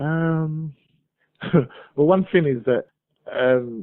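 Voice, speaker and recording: A man with a British accent, a fairly high pitch and ordinary pitch variation, at a very slow pace. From Nigeria. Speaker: migrant business owner. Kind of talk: interview.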